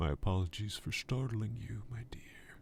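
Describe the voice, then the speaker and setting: A put-on character voice with ordinary pitch variation. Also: man, fairly low pitch for a man, moderate pace. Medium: read story. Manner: wheedling, flattering.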